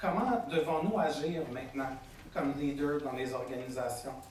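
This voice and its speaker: A man with a Quebec accent speaks at a fairly slow pace over noticeable background noise and audible room echo. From Quebec, Montreal. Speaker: agile coach. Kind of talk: conference keynote. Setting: stage with audience. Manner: casual, hesitant with many fillers.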